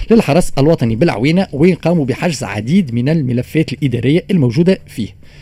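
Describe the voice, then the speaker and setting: A dark, mellow tone comes through, somewhat breathy, with lively intonation. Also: man. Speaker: radio news segment presenter. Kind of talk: news commentary segment.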